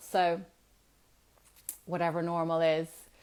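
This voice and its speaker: A woman talks at a very slow pace. Her pitch is fairly low. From Germany, then raised in Ireland from age seven. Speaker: wellbeing coach. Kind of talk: Instagram live talk. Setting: Instagram live video. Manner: hesitant, many fillers.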